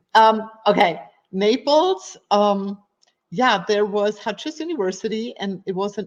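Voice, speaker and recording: The pace is fairly slow, with a German accent. Pitch varies in an ordinary way. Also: woman. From Germany. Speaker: fitness coach and personal trainer. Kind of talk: podcast interview. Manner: animated.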